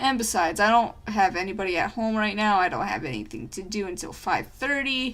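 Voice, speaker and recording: A woman talks at a fairly quick pace in a squeaky voice, with hardly any pauses. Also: ordinary pitch variation. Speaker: artist vlogger. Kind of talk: casual monologue while drawing. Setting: at home. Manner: frequent speech errors.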